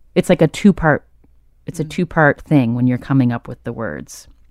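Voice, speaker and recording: A woman with an American accent and a very deep, low voice speaks at a fairly quick pace with lively intonation, in a dry, close sound with no echo on a very clean recording with a silent background. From US South. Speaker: podcast host and author. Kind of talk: interview.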